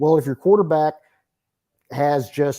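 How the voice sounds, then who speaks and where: On a very clean recording with a silent background, a man with an East Texas accent speaks in a dark, mellow tone with ordinary pitch variation. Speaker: sports reporter. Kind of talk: interview.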